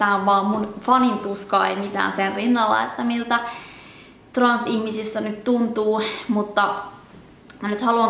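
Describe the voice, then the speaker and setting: A woman's monotone, flat delivery at a fairly slow pace, with audible room echo. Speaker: book channel host. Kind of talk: personal commentary monologue. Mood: earnest, troubled, reflective. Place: home room.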